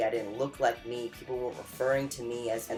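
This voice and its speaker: With music in the background, a man speaks at a fairly quick pace and medium pitch. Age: 20s. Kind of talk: casual vlog talk to camera.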